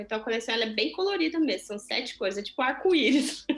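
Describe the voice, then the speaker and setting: A woman speaks with music in the background. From Brazil. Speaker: chocolatier and small business owner. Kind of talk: interview conversation. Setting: video call.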